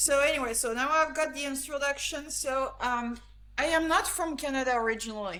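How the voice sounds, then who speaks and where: Projecting her raised, high-pitched voice, a woman talks at a fairly quick pace in audible room echo. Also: ordinary pitch variation. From France, the Alps. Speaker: grip sport athlete and trainer. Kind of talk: interview.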